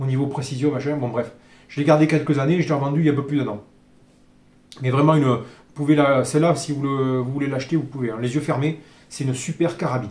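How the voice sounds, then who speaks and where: A man talks with a somewhat breathy, fairly high voice, his intonation fairly even. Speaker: airgun reviewer. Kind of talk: product review tutorial. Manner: fast; hesitant, many fillers.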